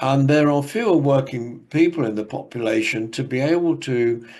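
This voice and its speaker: A man's medium-pitched voice with an English accent, fairly slow in pace, with ordinary pitch variation and audible room echo. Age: 70s. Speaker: academic speaker. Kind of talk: conference presentation. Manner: halting.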